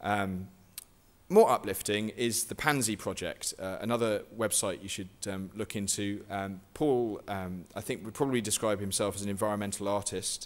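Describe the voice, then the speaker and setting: This speaker has a southern English accent and a moderate pace with fairly even intonation. The recording is very clean, with a silent background. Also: man, fairly low pitch for a man. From southwest England. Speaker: guerrilla gardening activist and author. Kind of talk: lecture. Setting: stage with audience. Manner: halting.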